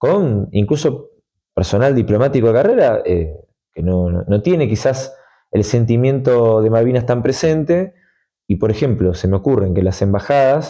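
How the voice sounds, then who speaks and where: Lively intonation runs through this man's speech. He keeps a moderate pace, and his tone is dark and mellow. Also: medium pitch for a man, quiet background. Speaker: sovereignty advocate. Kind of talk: interview.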